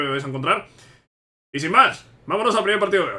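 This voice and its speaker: Male speech races along very fast. Its pitch variation is ordinary. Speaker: gaming youtuber. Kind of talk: casual gameplay commentary. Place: home room.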